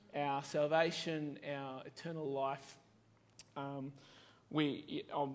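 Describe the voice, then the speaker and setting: A man with an Australian accent and monotone, flat intonation. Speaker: pastor. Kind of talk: sermon. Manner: casual, with many fillers. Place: church.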